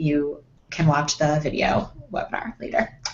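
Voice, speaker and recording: Very deep, low female voice amid noticeable background noise. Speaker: life coach running a webinar. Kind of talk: webinar presentation. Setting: video call. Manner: fast.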